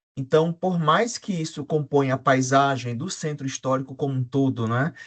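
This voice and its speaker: A somewhat breathy man at a fairly slow pace, with ordinary pitch variation and a dry, close sound with no echo. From Brazil, João Pessoa (Paraíba, Northeast). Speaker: academic panelist, urban researcher. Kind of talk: academic panel discussion.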